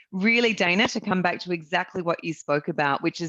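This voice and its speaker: A woman with an Australian accent at a moderate pace, against a quiet background, the sound dry and close with no echo. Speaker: real estate business owner presenting a marketing service. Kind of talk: webinar sales presentation.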